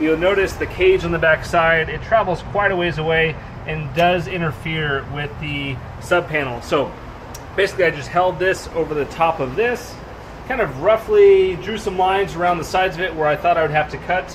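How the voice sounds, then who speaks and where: At a moderate pace, a man speaks with high pitch and ordinary pitch variation against noticeable background noise. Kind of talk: casual vlog chat. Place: garage. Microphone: phone near.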